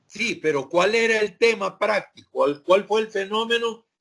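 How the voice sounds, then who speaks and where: A man speaks in a raised, projected voice with a bright, sharp tone. His pitch is high, with ordinary variation. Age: 60s. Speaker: sociology professor. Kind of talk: lecture. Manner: hesitant, many fillers.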